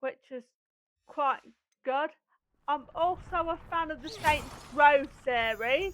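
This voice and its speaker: A woman's high-pitched voice at a very slow pace, with ordinary pitch variation, big swings in loudness, and long, frequent pauses. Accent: East Midlands. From England, Lincolnshire. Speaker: gaming streamer. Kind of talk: casual chat.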